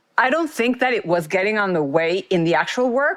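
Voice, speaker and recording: With a strong Mexican accent, a woman talks at a very fast pace. Her pitch swings very widely. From Mexico. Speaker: former marketing executive. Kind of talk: interview.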